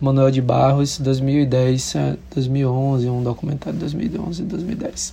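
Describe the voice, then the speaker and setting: Speaking at a very slow pace, the man has a fairly high pitch, a dark, mellow tone and fairly even intonation. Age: 30s. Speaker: musician and visual artist. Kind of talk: casual interview. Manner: halting, many fillers.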